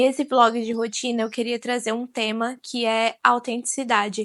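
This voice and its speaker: Monotone, flat intonation over a quiet background. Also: woman. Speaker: vlogger. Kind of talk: casual vlog talk.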